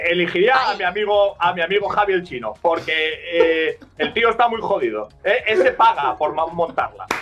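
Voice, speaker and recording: Talking with hardly any pauses at a moderate pace, a man uses a high pitch and lively intonation. Noticeable background noise is present. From Asturias, northern Spain. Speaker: steelworker and streamer. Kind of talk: casual chat.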